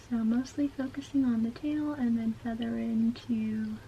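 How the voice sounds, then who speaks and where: Noticeable background noise is present. A woman speaks fairly slowly. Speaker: beauty YouTuber. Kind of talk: casual makeup tutorial talk to camera. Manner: whispered.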